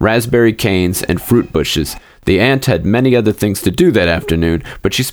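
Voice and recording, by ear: In a natural voice, a passage is being read aloud.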